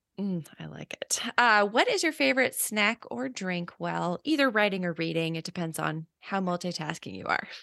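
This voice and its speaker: A woman at medium pitch talks at a moderate pace with hardly any pauses, her animated tone bright and sharp and her intonation lively, in a dry, close sound with no echo. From Northern California. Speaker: podcast host and YA writer. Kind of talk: casual interview chat. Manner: animated, laughs often.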